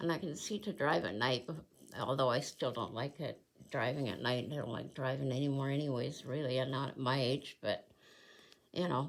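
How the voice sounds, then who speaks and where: Her voice is very deep and low in pitch, with ordinary pitch variation. The woman speaks at a moderate pace. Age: 70s. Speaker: cross stitch video creator. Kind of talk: casual chat. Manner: halting.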